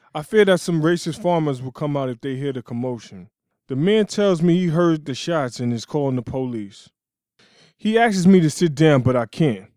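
With a dark, mellow tone and lively intonation, a man speaks at a moderate pace in a fairly high pitch. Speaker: formerly incarcerated student writer. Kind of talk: reading aloud.

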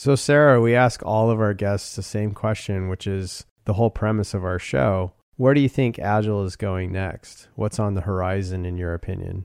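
A man with an American accent speaks in an ordinary speaking voice, fairly low in pitch, at a moderate pace with ordinary pitch variation. The background is quiet. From Southern California. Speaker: podcast host. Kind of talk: interview.

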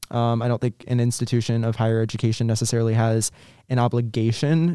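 Speaking in a flat monotone, a man with an American accent has a dark, mellow tone and a medium pitch. The recording is very clean and dry, close with no echo and a silent background. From Virginia Beach, Virginia. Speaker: college student, outreach coordinator. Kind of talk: interview. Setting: studio.

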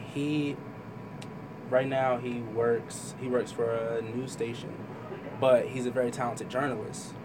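Amid noticeable background noise and audible room echo, a man with an American accent speaks at a fairly slow pace and a medium pitch, with monotone, flat intonation and long, frequent pauses. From Trenton, New Jersey. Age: young. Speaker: artist. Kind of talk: interview. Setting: studio.

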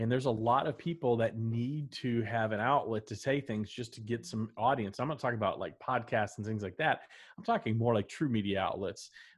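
The speaker has an American accent and a somewhat breathy voice. The pace is fairly quick, with ordinary pitch variation. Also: man, medium pitch for a man. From Texas, Dallas. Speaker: podcast co-host. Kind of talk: casual chat. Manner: animated.

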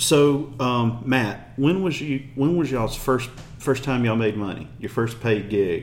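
A man speaks with a Memphis accent. His pitch sits in the medium range. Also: ordinary pitch variation. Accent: Southern US (Memphis). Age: 40s. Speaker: podcast host. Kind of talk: casual interview; show wrap-up with promotion.

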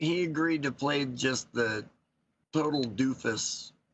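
A man is speaking. He has an American accent. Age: 60s. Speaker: pastor. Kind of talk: casual chat.

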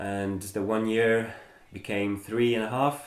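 Audible room echo surrounds a man whose fairly low voice varies in pitch in an ordinary way. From Germany. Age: 30s. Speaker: club president and translator. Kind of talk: casual interview. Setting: home living room.

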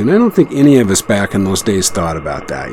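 The speaker has a relaxed tone, with noticeable background noise behind the voice. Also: man. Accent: American. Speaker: radio host. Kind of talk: live radio broadcast. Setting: shortwave radio studio. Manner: relaxed, rambling with fillers.

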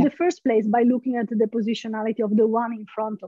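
A woman's high-pitched voice with an Italian accent. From Italy, Genoa. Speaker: philosophy lecturer. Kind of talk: casual interview.

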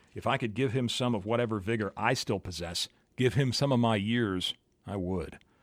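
Over a very clean recording with a silent background, a man with an American accent talks at a fairly quick pace with ordinary pitch variation. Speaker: podcaster and music blogger. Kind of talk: scripted narration.

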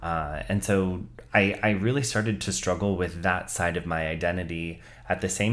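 Speaking at a moderate pace with a Californian accent, a man has a very deep, low pitch that carries audible room echo. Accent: General American, Californian. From US West Coast, Bay Area (Santa Clara). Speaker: content writing team lead in tech. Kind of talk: casual chat.

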